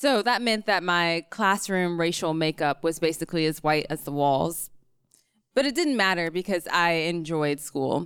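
A woman's normal speaking voice with an American accent, fairly low in pitch with ordinary variation, at a moderate pace, on a very clean recording with a silent background. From rural North Carolina. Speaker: psychology PhD student. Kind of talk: live storytelling. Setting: stage with audience.

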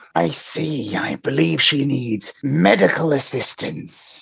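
This man talks at a fairly slow pace in a medium pitch, his voice making very wide pitch swings.

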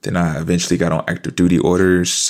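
A man with an American accent speaks at a moderate pace in a very deep, low pitch with a calm, relaxed tone. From US South, Fayetteville, North Carolina. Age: 20s. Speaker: army reservist and student. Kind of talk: casual interview.

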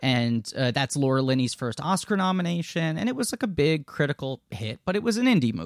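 In a very clean recording with a silent background and a dry, close sound with no echo, a man with an American accent talks at a fairly quick pace, his fairly high pitch making very wide swings. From New York City. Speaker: actor and podcast host. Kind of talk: casual interview chat.

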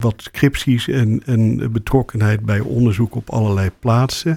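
Here is a man with a plain, everyday voice at a medium pitch, speaking at a fairly slow pace with ordinary pitch variation. The sound is dry and close with no echo. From Rotterdam, Netherlands. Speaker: ENT surgeon and professor. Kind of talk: interview.

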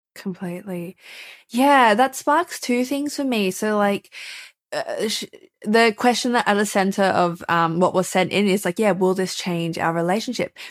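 A woman speaks with an Australian accent. Her intonation is lively and her pace moderate. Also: medium pitch for a woman. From Australia, Melbourne. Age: 20s. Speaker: writer and editor. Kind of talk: casual interview.

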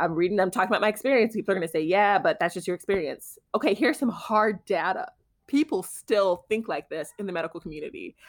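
With an American accent, a woman speaks at a very fast pace in a medium pitch and lively intonation on a very clean recording with a silent background. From Houston, Texas. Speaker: podcast co-host, author. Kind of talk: casual chat.

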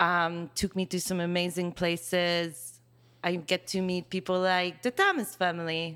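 Speaking with a Hungarian accent at a fairly slow pace, a woman keeps a fairly low pitch and monotone, flat intonation. The recording is very clean, with a silent background. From Hungary. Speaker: hairstylist. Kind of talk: casual chat. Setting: studio.

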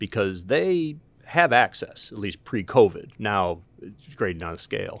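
Fairly low in pitch and with an American accent, a man speaks at a fairly slow pace, with very wide pitch swings and big swings in loudness. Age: 50s. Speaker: baseball team general manager. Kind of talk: casual chat.

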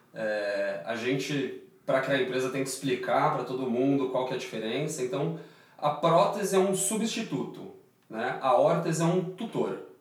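The voice moves at a moderate pace with lively intonation, amid audible room echo and noticeable background noise. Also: man. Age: 30s. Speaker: orthopedic surgeon and startup founder. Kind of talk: interview.

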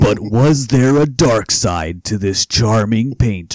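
A man puts on a character voice at a medium pitch. His intonation is lively. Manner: dramatic, ominous, suspenseful.

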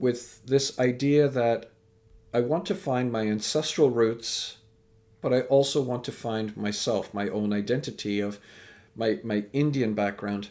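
Talking at a fairly slow pace with a Canadian accent, a man has an ordinary speaking voice, medium pitch and ordinary pitch variation. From Canada. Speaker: speaker and educator. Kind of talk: interview.

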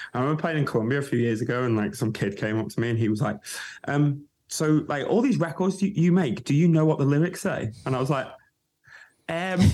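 Speaking at a very fast pace, a man uses lively intonation. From northern England. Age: 30s. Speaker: DJ and producer. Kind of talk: casual chat.

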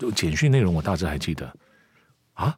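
A man at a fairly quick pace, his pitch swinging very widely, in a very clean recording with a silent background. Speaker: commercial voice actor, former news anchor. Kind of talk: casual interview.

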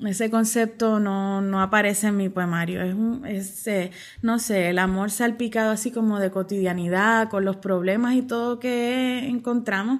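Fairly high pitch from a woman with an unremarkable speaking voice, fairly slow pace and fairly even intonation. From Puerto Rico, Mayagüez. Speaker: poet and professor. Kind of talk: interview.

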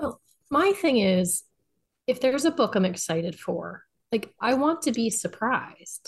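A woman delivers her words fairly slowly, somewhat breathy, her intonation lively. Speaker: podcast contributor, romance reader. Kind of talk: casual chat.

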